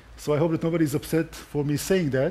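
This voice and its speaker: Speaking with a non-native accent, a man has a dark, mellow tone. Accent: foreign accent, noticeable. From Israel. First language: Hebrew. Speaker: conference speaker, tour guide and army officer. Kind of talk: conference talk. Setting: stage with audience at a conference.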